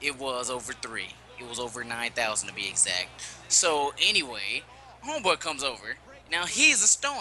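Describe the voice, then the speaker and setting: A man speaks at a moderate pace in an animated tone, with lively intonation and big swings in loudness. Noticeable background noise runs behind him. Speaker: podcast co-host, gamer. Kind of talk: casual chat, storytelling. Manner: animated, casual.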